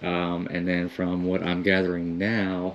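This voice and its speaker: Over light background noise, a man speaks at a fairly slow pace with a very deep, low pitch. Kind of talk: casual vlog commentary. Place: church. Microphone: phone near.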